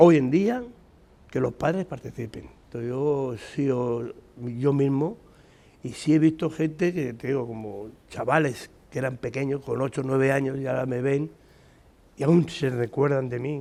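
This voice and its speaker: A man talks in a medium pitch, his pitch moving in an ordinary way, and his pace is fairly slow. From Spain, Madrid. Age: 60s. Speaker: retired trade unionist and community volunteer. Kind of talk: interview. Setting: school playground.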